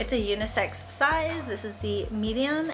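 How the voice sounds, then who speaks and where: A woman speaks at a moderate pace. Light background noise can be heard. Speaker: vlogger. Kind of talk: casual vlog chat. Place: home room. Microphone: camera far.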